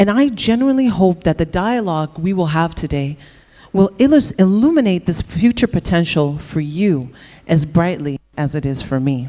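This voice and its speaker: A woman with a Canadian accent talks at a moderate pace and a fairly low pitch. Her tone is dark and mellow, with lively intonation. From Canada. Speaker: entrepreneur. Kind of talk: conference talk.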